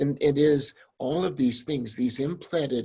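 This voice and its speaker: Against a quiet background, a man with a fairly high, somewhat breathy voice speaks at a fairly slow pace with ordinary pitch variation. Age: 70s. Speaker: deacon, panelist. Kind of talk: panel discussion.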